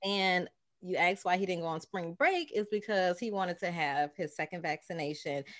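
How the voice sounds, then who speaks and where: A woman's fairly quick speech in a plain, everyday voice, medium in pitch with ordinary pitch variation, in a very clean recording with a silent background. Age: 30s. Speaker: podcast co-host. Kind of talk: casual chat.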